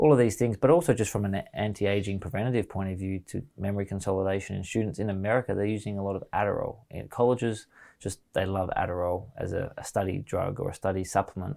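A dark, mellow voice in an Australian accent, at a very fast pace with hardly any pauses and ordinary pitch variation, in a very clean recording with a silent background. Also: man, fairly low pitch for a man. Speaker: mushroom products business founder. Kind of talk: casual interview chat.

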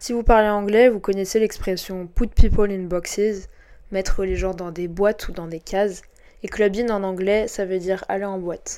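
A woman's medium-pitched, dark and mellow voice, flat and monotone, with big swings in loudness, on a very clean recording with a silent background. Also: moderate pace. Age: 20s. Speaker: podcast host. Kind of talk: scripted narration. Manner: formal.

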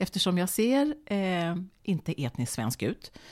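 With very wide pitch swings, a woman speaks at medium pitch on a very clean recording with a silent background. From Sweden, Borås. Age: 50s. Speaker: TV presenter. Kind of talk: casual chat. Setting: home kitchen.

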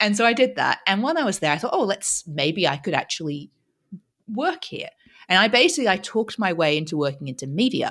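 At a fairly quick pace, a woman of medium pitch makes very wide pitch swings. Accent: Australian. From Australia. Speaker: author and speaker. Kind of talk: interview, casual chat.

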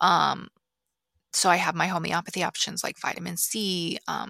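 A woman with a medium-pitched voice speaks in a bright, sharp tone with vocal fry, the sound dry and close with no echo. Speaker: podcast host, nutrition practitioner. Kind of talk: casual solo talk about products. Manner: many filler words (um, like).

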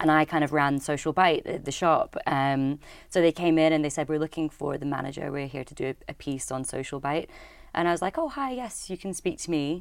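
A fairly quick delivery in a Scottish Highland accent, with ordinary pitch variation, on a very clean recording with a silent background. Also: woman, very deep, low pitch for a woman. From Scottish Highlands. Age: 30s. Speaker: social enterprise co-founder. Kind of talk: casual interview. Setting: studio.

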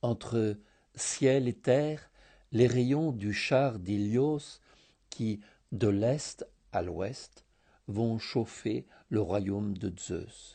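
Very slow speech from a man at medium pitch, dark and mellow in tone, with ordinary pitch variation, long, frequent pauses, and a quiet background. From Greece, Thessaloniki. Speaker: contributor reading a written scent story. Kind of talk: reading aloud.

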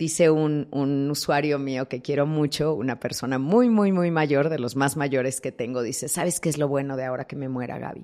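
A woman with a very deep, low pitch and a dark, mellow tone speaks at a moderate pace with hardly any pauses. Her pitch varies in an ordinary way, over a quiet background. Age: 50s. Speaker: thanatologist. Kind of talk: interview.

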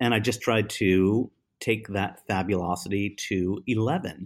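Heard in a very clean recording with a silent background, a man has a plain, everyday voice, fairly low in pitch with ordinary pitch variation. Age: 50s. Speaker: potter and designer. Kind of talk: casual chat.

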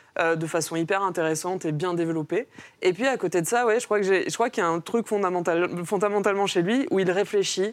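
A woman's normal speaking voice at medium pitch, with ordinary pitch variation, a fairly quick pace and very even loudness. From Mauritius. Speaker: comics author and film and comics teacher. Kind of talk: casual panel discussion.

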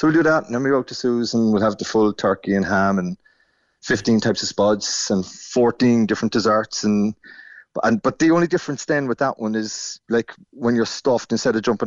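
A man with an Irish accent speaks at a very fast pace. His pitch is medium. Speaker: Irish emigrant. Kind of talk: casual chat. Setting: phone call. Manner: animated.

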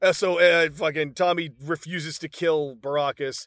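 A man with a fairly high pitch and an animated tone, in a dry, close sound with no echo. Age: 50s. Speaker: podcast host. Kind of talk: casual chat.

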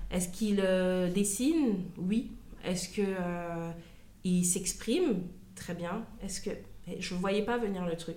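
With audible room echo, a woman speaks very slowly at a medium pitch with fairly even intonation. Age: 30s. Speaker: mother of a child with dyspraxia. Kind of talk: testimony. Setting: at the guest's home. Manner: halting.

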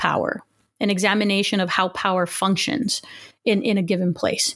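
At a fairly quick pace, a woman speaks with a Spanish accent on a very clean recording with a silent background. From Los Angeles area, California. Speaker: historian, professor. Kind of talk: interview.

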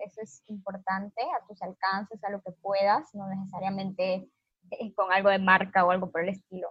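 Her monotone, flat intonation holds at a moderate pace while the woman's loudness makes big swings. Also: medium pitch for a woman. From Honduras. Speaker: activist, foundation founder. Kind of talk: interview. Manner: halting.

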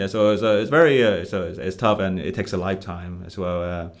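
With a Vietnamese accent, a man speaks very fast in a very deep, low pitch and a fairly even intonation. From Vietnam, Ho Chi Minh City. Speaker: stand-up comedian. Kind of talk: casual interview conversation. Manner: halting, many fillers.

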